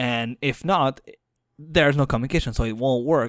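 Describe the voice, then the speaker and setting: Recorded very cleanly, dry and close with no echo and a silent background, a man with a Quebec accent speaks at a medium pitch and moderate pace with ordinary pitch variation. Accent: Québécois French-accented English. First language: French. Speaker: podcast co-host. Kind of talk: casual chat.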